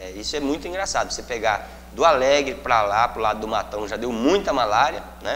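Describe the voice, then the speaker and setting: A man talks at a fairly quick pace with lively intonation and a medium pitch, over noticeable background noise. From Mato Grosso, Brazil (Pontes e Lacerda area). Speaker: state deputy / politician. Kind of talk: interview. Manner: halting, with many fillers.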